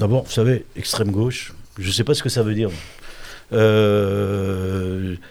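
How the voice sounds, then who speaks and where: Speaking at a very slow pace with long, frequent pauses, a man uses a fairly low pitch and fairly even intonation. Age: 60s. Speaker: politician. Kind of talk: interview. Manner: halting.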